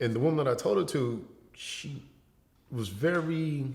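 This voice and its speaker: Vocal fry marks a man's voice, which makes very wide pitch swings in a room with audible echo. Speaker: educator and entertainer, model. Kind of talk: casual interview conversation. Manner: casual, relaxed.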